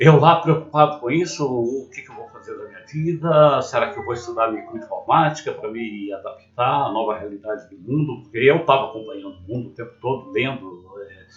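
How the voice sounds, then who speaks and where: At a moderate pace, a man with a fairly high pitch speaks over noticeable background noise. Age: 50s. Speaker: former systems analyst, vlogger. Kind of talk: personal story monologue.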